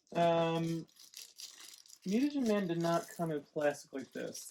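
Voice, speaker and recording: A man talks in a normal speaking voice. It is fairly high in pitch, with ordinary variation. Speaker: toy reviewer. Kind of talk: casual unboxing video.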